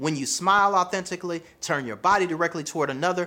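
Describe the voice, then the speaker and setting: With a Southern US accent, a man speaks in a high pitch with a bright, sharp tone that is animated and energetic. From US South. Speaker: relationship coach. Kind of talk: video monologue, motivational advice. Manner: animated, energetic, casual slang.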